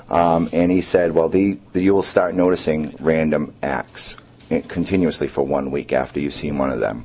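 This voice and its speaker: A man talks at a moderate pace in a very deep, low voice with ordinary pitch variation. Noticeable background noise runs behind him. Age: 30s. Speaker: paranormal investigator. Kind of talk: radio interview. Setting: radio studio.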